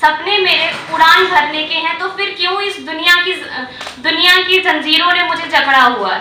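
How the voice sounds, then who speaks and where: A woman speaks in a raised, projected voice at an extremely high pitch. Her tone is passionate, with noticeable background noise behind her. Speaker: open mic storyteller / poet. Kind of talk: open mic poetry and storytelling performance. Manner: forceful, passionate, protest-like.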